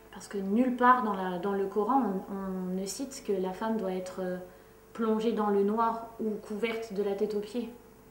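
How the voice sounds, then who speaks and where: A woman of medium pitch talks at a moderate pace in a monotone, flat way, with noticeable background noise and audible room echo. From France. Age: 30s. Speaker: activist. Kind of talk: interview testimony. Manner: hesitant, many fillers.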